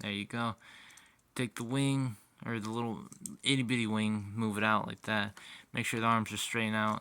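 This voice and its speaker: A man with a fairly low pitch speaks in a bright, sharp tone at a moderate pace. His intonation is monotone and flat, on a very clean recording with a silent background. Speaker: toy reviewer. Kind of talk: product review and tutorial. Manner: casual, halting with fillers.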